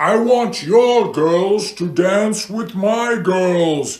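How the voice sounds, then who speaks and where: In a put-on character voice, the speaker goes at a very slow pace with ordinary pitch variation. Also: man, high pitch for a man. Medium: read story. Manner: crude, boastful, stilted.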